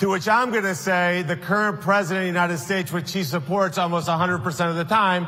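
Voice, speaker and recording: A man's high voice at a very fast pace with ordinary pitch variation, plus audible room echo and noticeable background noise. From South Florida, Colombian-born. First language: Spanish. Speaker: political candidate. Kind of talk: political speech.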